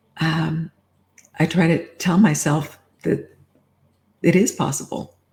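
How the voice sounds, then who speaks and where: A woman speaks at a very slow pace with long, frequent pauses, her voice somewhat breathy. Her pitch is fairly low, with ordinary variation. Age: 70s. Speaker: coaching client. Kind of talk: coaching conversation.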